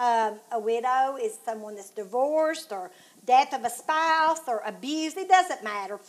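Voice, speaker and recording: This speaker has a Southern US accent and lively intonation at a moderate pace. The loudness swings widely. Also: woman, high pitch for a woman. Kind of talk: devotional heart-to-heart chat.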